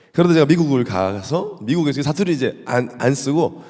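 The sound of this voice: Speaking in a Busan accent, a man keeps a moderate pace at a fairly high pitch. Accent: Gyeongsang (Busan) dialect.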